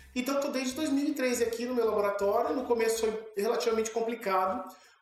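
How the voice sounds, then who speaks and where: A man speaks with ordinary pitch variation over noticeable background noise, with audible room echo. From São Paulo, Brazil. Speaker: zoology professor. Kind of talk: interview.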